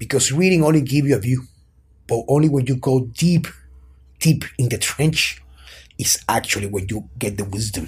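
A man with a Spanish accent talks at a fairly quick pace and medium pitch, somewhat breathy, with ordinary pitch variation. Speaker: personal trainer and strength coach. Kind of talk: interview conversation.

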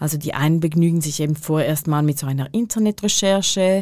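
The speaker has a normal speaking voice with ordinary pitch variation at a moderate pace, on a very clean recording with a silent background. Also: woman. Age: 40s. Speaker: podcast co-host. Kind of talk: casual chat. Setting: studio.

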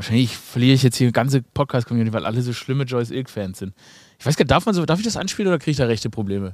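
Talking at a very fast pace, a man uses lively intonation and an animated tone on a very clean recording with a silent background. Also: medium pitch for a man. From Swabia, Germany. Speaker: podcast host. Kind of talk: casual comedic chat.

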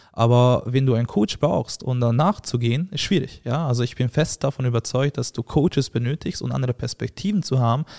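A man with a Hungarian accent, medium in pitch and dark, mellow in tone, at a fairly quick pace with hardly any pauses, ordinary pitch variation and a dry, close sound with no echo. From Hungary. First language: Hungarian (speaking German). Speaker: agency founder and CEO. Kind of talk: casual interview.

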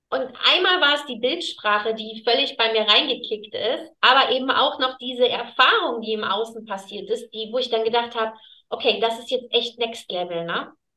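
The pace stays moderate. A bright, sharp tone carries ordinary pitch variation. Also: woman, fairly high pitch for a woman. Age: 30s. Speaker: client of an energy healer. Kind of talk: casual chat.

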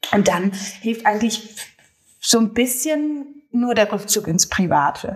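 A woman with a fairly high, somewhat breathy voice speaks at a very slow pace with lively intonation. Long, frequent pauses break up her speech. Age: 30s. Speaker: social media comedian. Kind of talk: casual chat. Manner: hesitant, many fillers.

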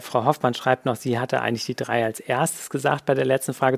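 A man with a medium-pitched voice talks very fast, his intonation fairly even. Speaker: webinar host and physician. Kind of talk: live quiz-show hosting, reading questions and announcing winners. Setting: online webinar with chat.

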